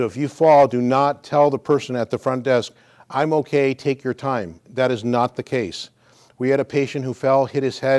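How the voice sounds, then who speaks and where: A man's unremarkable speaking voice at medium pitch, fairly quick pace and fairly even intonation, in a very clean recording with a silent background. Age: 60s. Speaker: physical therapist. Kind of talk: exercise class talk.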